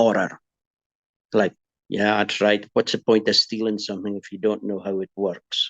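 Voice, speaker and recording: Dry and close with no echo, a man's fairly low voice holds a monotone, flat intonation. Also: moderate pace. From Scotland, Aberdeenshire. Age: 60s. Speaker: farmer. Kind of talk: interview testimony. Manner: halting.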